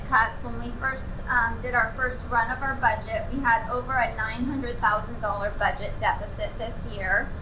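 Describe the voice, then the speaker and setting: A woman talks in a raised, projected voice at a high pitch, with lively intonation and a fairly slow pace. Noticeable background noise and audible room echo fill the recording. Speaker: city manager. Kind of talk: public presentation. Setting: community center meeting with audience. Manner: frequent filler ums. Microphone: no microphone.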